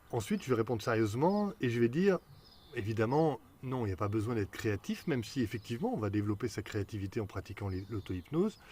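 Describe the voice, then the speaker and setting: Talking at a very fast pace, a man has a dark, mellow, somewhat breathy tone and lively intonation. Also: medium pitch for a man. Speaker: hypnotherapist. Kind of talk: Q&A video talk.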